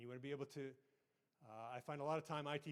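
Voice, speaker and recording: A man rattles along at a very fast pace in a medium pitch, his intonation monotone and flat. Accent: western Canadian. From Canada, southern Alberta. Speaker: IT manager and conference speaker. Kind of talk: conference presentation. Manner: conversational, hesitant fillers.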